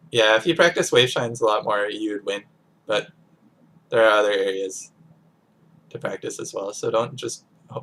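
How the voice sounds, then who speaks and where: A man at a moderate pace with long, frequent pauses, medium pitch and ordinary pitch variation. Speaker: game coach. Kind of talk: coaching commentary on gameplay. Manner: hesitant, filler-heavy.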